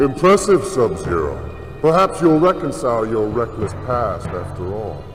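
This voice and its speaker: A man performs a put-on character voice at a moderate pace. Loud music plays in the background. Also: medium pitch for a man. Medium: game stream. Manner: menacing, theatrical.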